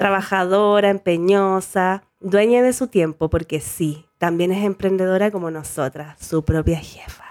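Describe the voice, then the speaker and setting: A woman speaks at a fairly slow pace with hardly any pauses, her pitch medium and ordinary in variation. The sound is dry and close with no echo, on a very clean recording with a silent background. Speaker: podcast host and tattoo artist. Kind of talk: casual chat.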